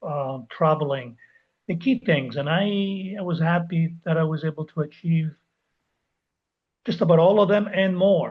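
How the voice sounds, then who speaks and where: This man speaks with a high pitch, ordinary pitch variation, and long, frequent pauses. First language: not English. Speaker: life coach. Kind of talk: interview.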